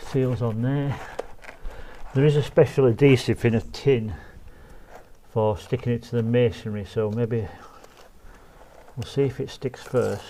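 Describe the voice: With long, frequent pauses, a man talks in a dark, mellow tone and fairly even intonation. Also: medium pitch for a man, fairly slow pace.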